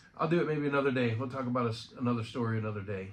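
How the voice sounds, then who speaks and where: The voice belongs to a man. Audible room echo surrounds his speech. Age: 50s. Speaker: friend giving a memorial remembrance. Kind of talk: personal remembrance monologue. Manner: casual, halting.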